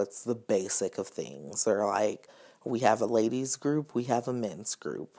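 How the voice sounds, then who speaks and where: A man with an American accent, vocal fry, a dark, mellow tone and ordinary pitch variation. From US South. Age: 20s. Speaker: social worker. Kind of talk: casual chat.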